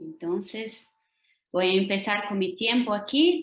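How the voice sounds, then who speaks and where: Speaking at a very slow pace, a woman with a Portuguese accent uses a fairly high pitch. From Brazil. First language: Portuguese (speaking Spanish). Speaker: lecturer, language teacher and doctoral student. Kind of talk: academic lecture. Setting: video call.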